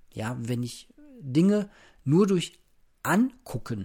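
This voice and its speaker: Relaxed and somewhat breathy, a man speaks with a dark, mellow tone and lively intonation. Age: 30s. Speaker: podcaster. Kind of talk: casual solo monologue. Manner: relaxed, unhurried.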